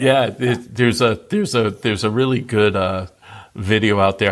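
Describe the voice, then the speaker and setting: A man's unremarkable speaking voice at medium pitch, fairly quick in pace, with ordinary pitch variation. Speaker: retiree. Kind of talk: interview answer. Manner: casual, conversational.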